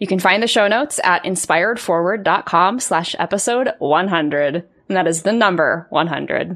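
A woman speaks at a medium pitch, at a fairly slow pace with hardly any pauses. She has an ordinary speaking voice with ordinary pitch variation. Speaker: podcast host and life coach. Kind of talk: podcast hosting, intro and outro.

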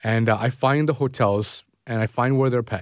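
In a very clean recording with a silent background, a man talks with a Toronto accent. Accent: Canadian English, Toronto. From Canada, Toronto suburbs (Scarborough). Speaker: food travel journalist. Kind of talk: interview. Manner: hesitant, many fillers.

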